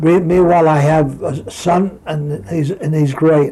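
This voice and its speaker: Over noticeable background noise, a man with an American accent speaks at a fairly high pitch with fairly even intonation. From New York. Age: 80s+. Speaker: retired boxer. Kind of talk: interview. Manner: halting.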